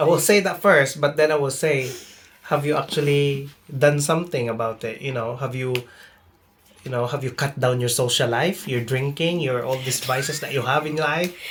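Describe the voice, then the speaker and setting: Noticeable background noise runs under a man's fairly high voice. He speaks at a moderate pace with ordinary pitch variation. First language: not English. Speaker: nursing student. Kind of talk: casual chat. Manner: halting, repeats words.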